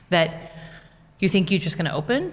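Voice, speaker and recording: The speaker goes at a very fast pace. The voice is somewhat breathy. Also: woman. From United States. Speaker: small business owner. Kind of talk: podcast interview. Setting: studio.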